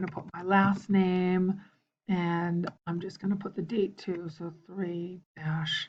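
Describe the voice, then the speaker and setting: The speech moves at a very slow pace. The voice sounds somewhat breathy. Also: woman. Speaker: teacher. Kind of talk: tutorial. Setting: screencast. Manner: halting.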